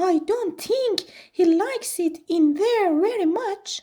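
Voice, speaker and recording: A woman does a squeaky, put-on character voice at an extremely high pitch, speaking at a fairly slow pace. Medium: read story. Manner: eager, affectionate.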